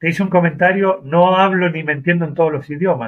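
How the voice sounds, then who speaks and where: Moderately paced, this man talks in an ordinary speaking voice. His pitch is fairly high. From Argentina, Mendoza. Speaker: rideshare driver. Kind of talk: interview.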